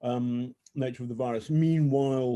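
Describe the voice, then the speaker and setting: A man with a British accent, a dark, mellow tone, fairly even intonation, and a very slow pace. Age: 60s. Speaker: journalist. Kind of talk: casual chat. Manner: halting.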